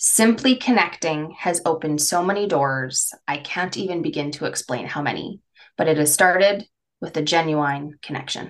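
A woman with an unremarkable speaking voice talks at a fairly low pitch and moderate pace, with ordinary pitch variation. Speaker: career coach and podcast host. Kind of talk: casual conversational podcast chat.

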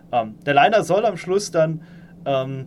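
A man speaks with lively intonation. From Saarland, Germany. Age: 30s. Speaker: engineering manager. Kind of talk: interview. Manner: hesitant, many fillers.

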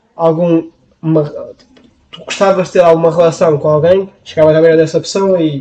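His pitch fairly high, a man talks at a moderate pace with fairly even intonation. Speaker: podcast co-host. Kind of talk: casual chat.

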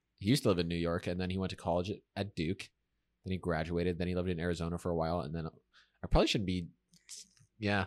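In a very clean recording with a silent background, a man with a very deep, low voice talks very fast, his intonation fairly even. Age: 20s. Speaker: podcast co-host, college student. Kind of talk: casual chat.

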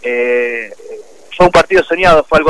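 A man speaks at a moderate pace, with a dry, close sound and no echo. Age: 30s. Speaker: professional football goalkeeper. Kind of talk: radio interview. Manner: hesitant, many repetitions.

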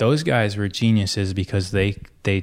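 A man with a normal speaking voice and an American accent, fairly low in pitch, at a moderate pace with fairly even intonation, in a very clean recording with a silent background. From US Midwest, Michigan. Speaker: gym owner and former hockey player. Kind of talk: casual chat.

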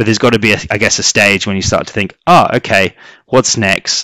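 A man with a British accent, a fairly low pitch and a bright, sharp tone at a fairly quick pace, in a very clean recording with a silent background. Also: dry, close sound with no echo. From UK. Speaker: sales executive. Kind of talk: interview. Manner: hesitant, many fillers.

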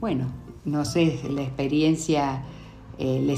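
A woman talks at a fairly slow pace. Noticeable background noise and audible room echo are present. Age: 60s. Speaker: mother of the host. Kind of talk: interview. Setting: sitting beside the host.

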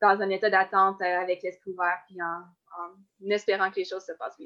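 The speaker has a Quebec accent and keeps a moderate pace. The background is quiet. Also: woman. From Quebec, Côte-Nord. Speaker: Olympic-level runner. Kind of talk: interview.

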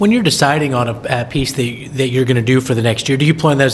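A man with a medium-pitched voice talks very fast against noticeable background noise. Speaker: podcast host. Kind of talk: casual interview.

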